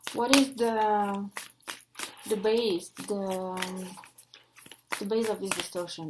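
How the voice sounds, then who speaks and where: Very slowly, a woman speaks in a French accent at a fairly high pitch with fairly even intonation. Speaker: oracle card reader. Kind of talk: oracle card reading. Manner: halting.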